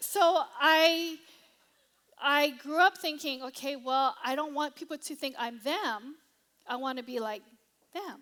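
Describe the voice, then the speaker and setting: In a high pitch, a woman speaks with an animated, bright, sharp tone and lively intonation, at a fairly slow pace with long, frequent pauses and big swings in loudness. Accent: Hawaiian. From Hawaii. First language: Cantonese. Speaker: pastor. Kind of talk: sermon.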